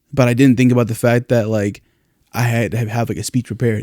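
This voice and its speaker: Mumbling at a very fast pace, a man speaks at a medium pitch with a dark, mellow tone. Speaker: podcast host. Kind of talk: casual chat.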